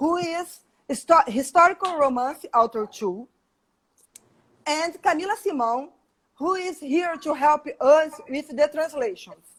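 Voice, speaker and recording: A woman with a Portuguese accent speaks at a fairly slow pace in a high pitch, her lively intonation broken by long, frequent pauses. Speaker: live stream host. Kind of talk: interview on a live stream.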